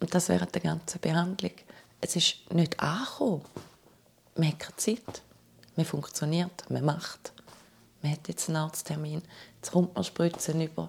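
Pausing long and often, a woman speaks at a fairly low pitch with vocal fry and fairly even intonation. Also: moderate pace. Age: 40s. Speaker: cancer survivor. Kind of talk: testimony.

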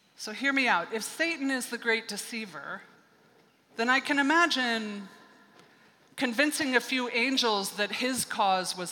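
A woman talks in a normal speaking voice with a fairly high pitch, at a fairly slow pace. Her intonation is lively, and her loudness swings widely. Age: 50s. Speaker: pastor. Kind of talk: sermon. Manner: conversational, with laughter.

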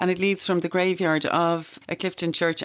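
A woman with an Irish accent speaks at a fairly quick pace with fairly low pitch. The recording is very clean, with a silent background. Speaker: podcast host. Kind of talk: casual chat.

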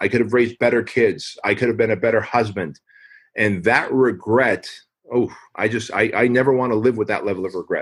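A man talks at a fairly quick pace in an unremarkable speaking voice. His pitch is medium and his intonation fairly even. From US (immigrated from Armenia at age six). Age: 40s. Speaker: fitness franchise founder and author. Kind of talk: podcast interview.

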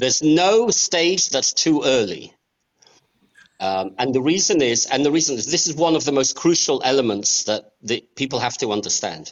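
With an English accent, a man talks at a moderate pace in a fairly high pitch and lively intonation. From Australia and England. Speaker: real estate lawyer. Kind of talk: interview.

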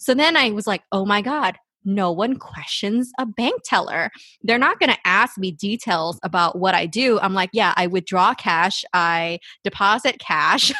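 The voice has a bright, sharp tone and lively intonation at a fairly slow pace. The sound is dry and close with no echo, over a quiet background. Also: woman, medium pitch for a woman. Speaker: therapist and podcast co-host. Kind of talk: casual chat. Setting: video call.

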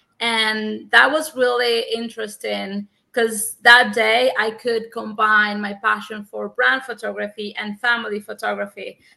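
In a Spanish accent, a woman talks at a fairly slow pace with hardly any pauses. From Cuba. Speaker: photographer. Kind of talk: interview. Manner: halting.

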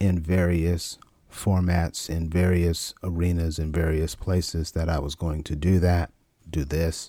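In an American accent, the speaker talks very slowly with flat, monotone intonation and a dark, mellow tone, in a dry, close recording with no echo. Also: man, very clean recording, silent background. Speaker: podcast host and coach. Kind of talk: solo motivational monologue.

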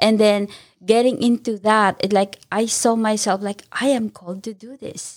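A woman's fairly high voice at a moderate pace, monotone and flat in intonation but with big swings in loudness. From immigrant from abroad. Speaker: nonprofit founder, caregiver. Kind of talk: interview.

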